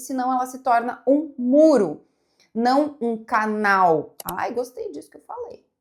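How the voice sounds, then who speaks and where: Her voice is high in pitch. The woman speaks at a fairly slow pace. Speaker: psychologist and content creator. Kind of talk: casual reaction video monologue. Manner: relaxed, flowing.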